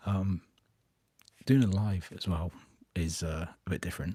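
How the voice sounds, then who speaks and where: Quiet and somewhat breathy, a man speaks with a very deep, low pitch and a dark, mellow tone. His accent is British. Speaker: miniature painting youtuber. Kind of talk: live stream update.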